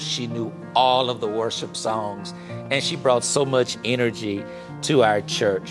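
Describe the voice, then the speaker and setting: Over clear background music, a man with an American accent speaks at a fairly slow pace, his tone warm and his intonation lively. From Shreveport, Louisiana, USA. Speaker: pastor. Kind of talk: eulogy with scripture reading. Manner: warm, sincere, measured. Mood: warm, consoling. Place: studio.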